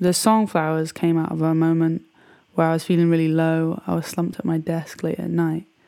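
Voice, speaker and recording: Fairly quick and flat, a woman's dark, mellow voice sits at a fairly low pitch with monotone intonation. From Bristol, England. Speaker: musician. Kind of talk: personal introduction.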